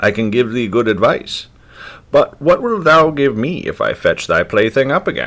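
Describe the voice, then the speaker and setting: At a moderate pace, a man performs a put-on character voice with a fairly high pitch. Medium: read story. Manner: archaic, insistent.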